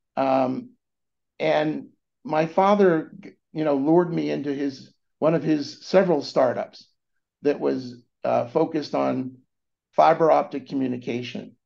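A man with an American accent talks at a fairly slow pace, leaving long, frequent pauses. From California, US. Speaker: venture capitalist. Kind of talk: interview. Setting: remote call.

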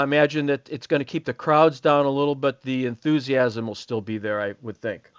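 A man with an American accent and a plain, everyday voice, fairly high in pitch with ordinary pitch variation, at a moderate pace, dry and close with no echo over a quiet background. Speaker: golf magazine editor and radio co-host. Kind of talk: radio show.

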